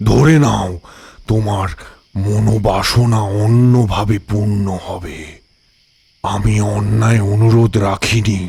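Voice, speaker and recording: A man speaks very slowly in a put-on character voice, his fairly low pitch held in fairly even intonation. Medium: audio drama. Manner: calm, measured.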